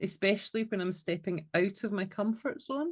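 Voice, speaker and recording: Over a quiet background, a woman with a fairly high pitch speaks in a Scottish accent. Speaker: podcast co-host. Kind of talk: casual chat.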